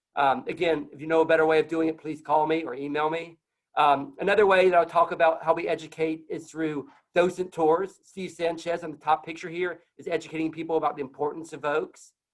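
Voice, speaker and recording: A man's fairly high, monotone, flat voice at a fairly quick pace, with big swings in loudness. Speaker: tree nonprofit program director. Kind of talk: conference talk. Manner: fast.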